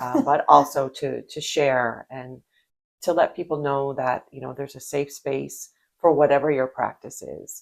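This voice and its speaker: At a moderate pace, a woman speaks with big swings in loudness. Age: 60s. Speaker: podcast co-host. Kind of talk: casual chat. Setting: video podcast.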